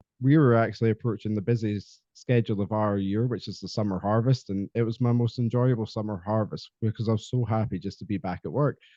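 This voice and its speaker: A man with a Scottish accent speaks very fast with hardly any pauses, his fairly low voice keeping a fairly even intonation. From Scotland. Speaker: podcast guest, mental health advocate. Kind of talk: casual interview chat. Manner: halting, many fillers.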